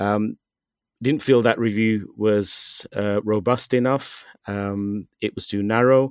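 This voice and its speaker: A man speaks with a British accent at a very slow pace. His intonation is fairly even. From UK. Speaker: writer on Sikh issues. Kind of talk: interview. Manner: halting, many fillers.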